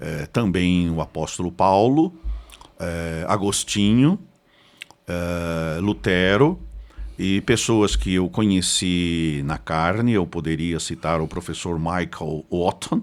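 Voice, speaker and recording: A man's very deep, low voice with an interior Paraná accent, ordinary pitch variation and a very slow pace. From Paraná, Brazil (Curitiba from age ten). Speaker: pastor and theology professor. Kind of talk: podcast interview.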